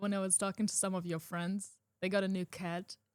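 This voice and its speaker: A woman with a German accent speaks at a moderate pace and medium pitch, her intonation monotone and flat. The sound is dry and close with no echo. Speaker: podcast co-host. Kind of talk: casual chat.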